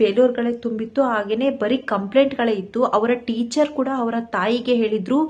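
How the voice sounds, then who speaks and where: With fairly even intonation, a woman speaks at a fairly high pitch in an ordinary speaking voice. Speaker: YouTube vlogger. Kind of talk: motivational tutorial to camera. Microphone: phone camera mic, no external mic.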